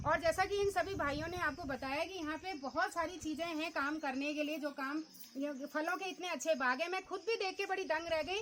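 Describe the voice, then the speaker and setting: This woman's pitch is extremely high. Her pitch variation is ordinary. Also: moderate pace. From Uttarakhand, Almora (Kumaon hills). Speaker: vlogger and interviewer. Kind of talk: on-location village interview vlog.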